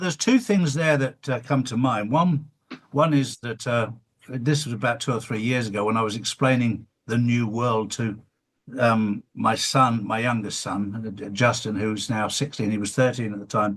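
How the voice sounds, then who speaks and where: A man with an English accent, medium pitch, ordinary pitch variation and a moderate pace. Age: 60s. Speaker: interviewer, former builder. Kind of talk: casual interview chat.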